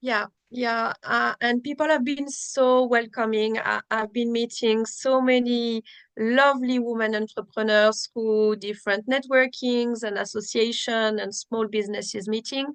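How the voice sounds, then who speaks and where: Flat, monotone intonation comes through in a French accent, recorded dry and close with no echo. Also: woman, fairly high pitch for a woman, fairly slow pace. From France. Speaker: digital marketing consultant. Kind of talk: casual interview chat.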